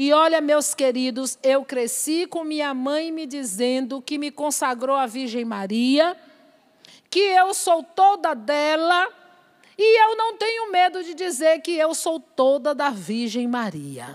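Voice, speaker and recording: Very slowly, a woman speaks at a high pitch with lively intonation. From Bahia, Brazil. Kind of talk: sermon; prayer. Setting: church or religious event with audience.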